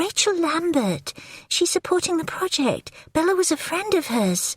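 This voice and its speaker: A squeaky, put-on character voice with lively intonation moves at a moderate pace, its loudness very even and its sound dry and close with no echo. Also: woman, extremely high pitch for a woman. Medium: read story. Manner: blunt, curt.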